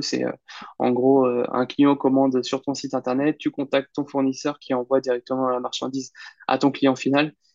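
The man's medium-pitched voice has monotone, flat intonation at a moderate pace, with a dry, close sound and no echo. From Normandy, France (Caen). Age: 30s. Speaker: online entrepreneur and investor. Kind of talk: interview. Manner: halting, many fillers.

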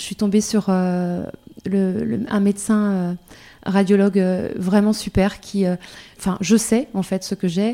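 At a very slow pace with long, frequent pauses, a woman speaks in a medium pitch and a dark, mellow tone, her intonation monotone and flat. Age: 40s. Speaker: breast cancer patient. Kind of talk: testimony. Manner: halting.

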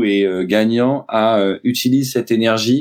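Here a man talks at a very slow pace. His medium pitch carries a fairly even intonation. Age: 40s. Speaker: sales trainer. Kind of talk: interview. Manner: hesitant, many fillers.

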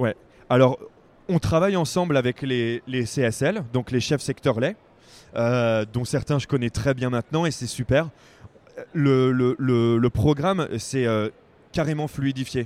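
Speaking at a very slow pace with long, frequent pauses, a man uses a medium pitch and ordinary pitch variation, and the sound is dry and close with no echo. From Picardie, northern France. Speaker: crowdfunding project manager. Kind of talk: interview. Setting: trade fair stand. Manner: hesitant, many fillers.

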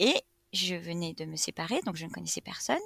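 A woman's bright, sharp voice swings very widely in pitch and carries vocal fry, recorded with a dry, close sound and no echo. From France, Reims. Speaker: entrepreneur. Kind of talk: interview, casual chat.

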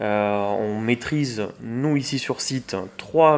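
His pitch is medium. The speaker is a man. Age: 20s. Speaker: packaging company manager, engineer. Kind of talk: interview. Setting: recorded on location at a business meeting venue.

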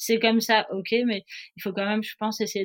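A woman is speaking. She talks at a moderate pace. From southern France, Nice. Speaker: professional offshore sailor. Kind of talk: interview. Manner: hesitant, many fillers.

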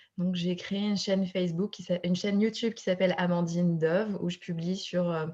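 Her voice is fairly low, dark and mellow, and somewhat breathy. The woman speaks fairly quickly in a monotone, flat intonation. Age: 30s. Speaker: fertility coach. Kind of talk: casual chat.

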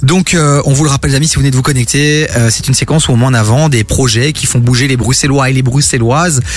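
Speaking at a very fast pace with hardly any pauses, a man keeps his loudness very even at a medium pitch. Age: 30s. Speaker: radio host. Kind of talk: casual chat. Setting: studio. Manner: animated.

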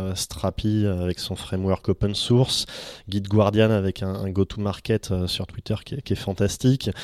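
On a very clean recording with a silent background, a man with a fairly low pitch speaks at a fairly slow pace with fairly even intonation. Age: 30s. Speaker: venture capital investor. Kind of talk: interview. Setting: office. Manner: hesitant, frequent fillers.

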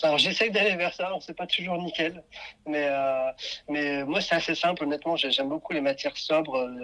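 An unremarkable speaking voice from a man with a fairly high pitch, at a moderate pace with ordinary pitch variation. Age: 30s. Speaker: fashion brand founder. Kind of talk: interview.

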